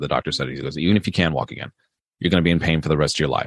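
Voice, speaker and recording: With an American accent, a man talks at a very fast pace in a very deep, low voice with vocal fry, recorded with a dry, close sound and no echo. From Maryland, US East Coast. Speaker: police officer and horror author. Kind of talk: interview conversation. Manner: halting, many fillers.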